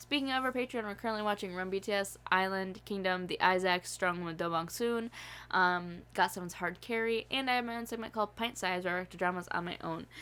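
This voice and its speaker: Very fast, animated speech from a woman with an American accent, bright and sharp in tone, at medium pitch with ordinary pitch variation. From upstate New York. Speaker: YouTube reaction channel host. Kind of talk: casual chat; channel promo.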